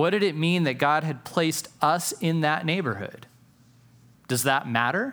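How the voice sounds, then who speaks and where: A man with a plain, everyday voice and fairly high pitch talks at a moderate pace, with very even loudness and lively intonation. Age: 40s. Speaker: pastor. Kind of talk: sermon.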